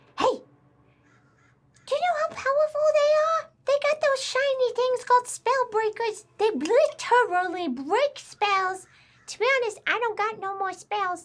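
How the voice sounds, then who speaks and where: A woman whispers in a squeaky, put-on character voice. Her pace is moderate. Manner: whispering.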